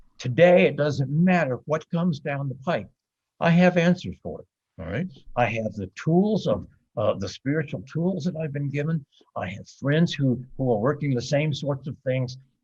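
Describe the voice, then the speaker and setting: A man speaks at a moderate pace in a fairly high pitch. His voice is somewhat breathy, with lively intonation. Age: 70s. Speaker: author and recovering addict. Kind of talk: podcast interview. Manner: halting, with fillers and repetitions.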